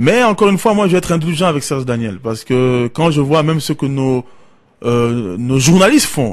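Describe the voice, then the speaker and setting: This man has an unremarkable speaking voice with a fairly high pitch and lively intonation. He talks at a moderate pace. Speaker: radio call-in host. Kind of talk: call-in radio show.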